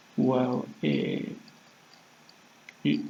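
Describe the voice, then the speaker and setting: The speaker has a Spanish accent. Noticeable background noise is present. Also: man. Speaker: vlogger practicing English. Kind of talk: casual monologue to camera. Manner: halting, many fillers.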